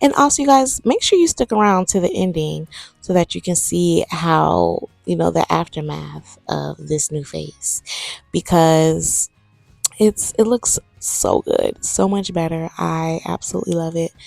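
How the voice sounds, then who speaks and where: A woman's fairly slow speech with music in the background. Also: dry, close sound with no echo. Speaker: sewing vlogger. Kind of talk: casual voiceover vlog. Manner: casual, chatty.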